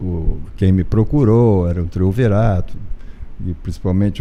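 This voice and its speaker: Over noticeable background noise, a man with a very deep, low voice speaks at a fairly slow pace with ordinary pitch variation. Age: 70s. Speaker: pediatrician and former club sponsor. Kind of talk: interview.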